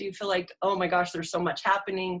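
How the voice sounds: A woman talks at a fairly quick pace, her fairly low pitch paired with a fairly bright tone.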